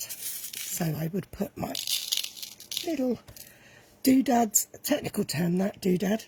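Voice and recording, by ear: A put-on character voice, croaky, hoarse and raspy, at a fairly slow pace with long, frequent pauses and very wide pitch swings. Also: woman, medium pitch for a woman.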